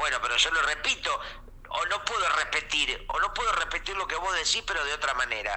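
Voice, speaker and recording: A man with a Rioplatense accent at a fairly quick pace, over noticeable background noise. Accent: Rioplatense Spanish (Argentine). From Argentina, Mar del Plata. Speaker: comedian. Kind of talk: casual comedic chat. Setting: remote call.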